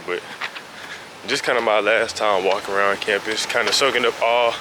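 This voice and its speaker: Over noticeable background noise, a man with a fairly low pitch speaks in a monotone, flat way. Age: 20s. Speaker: college student vlogger. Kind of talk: vlog. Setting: walking outdoors around campus.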